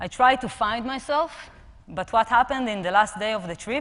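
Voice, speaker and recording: The speaker has an Israeli accent. The pitch variation is ordinary. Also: woman. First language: Hebrew. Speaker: personal trainer and app co-founder. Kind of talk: conference talk. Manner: halting.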